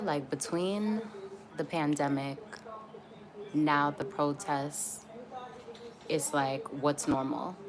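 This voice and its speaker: A soft-spoken woman talks at a fairly slow pace in an American accent. Noticeable background noise is present. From Atlanta, US South. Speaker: YouTuber live streaming. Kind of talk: casual livestream chat. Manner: soft-spoken, talking quietly; casual, many fillers.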